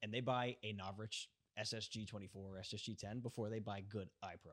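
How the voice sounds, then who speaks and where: A man in an American accent uses an ordinary speaking voice, fairly low in pitch, with ordinary pitch variation. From US Northeast (New York). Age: 30s. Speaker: airsoft gun technician. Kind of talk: casual chat.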